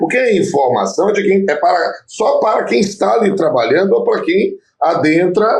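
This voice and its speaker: A man speaks at a moderate pace. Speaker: labor judge and law professor. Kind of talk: casual interview chat.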